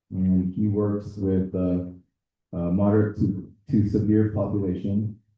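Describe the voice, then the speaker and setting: A man with a Spanish accent speaks in a fairly low, monotone voice with flat intonation at a fairly slow pace. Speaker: teacher and board candidate. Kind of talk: interview answers. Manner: halting.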